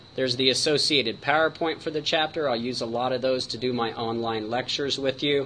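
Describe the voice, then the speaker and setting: Over noticeable background noise, a man talks at a fairly quick pace and medium pitch with fairly even intonation. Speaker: college professor. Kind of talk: recorded online course tutorial. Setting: screen-recorded video. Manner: fast.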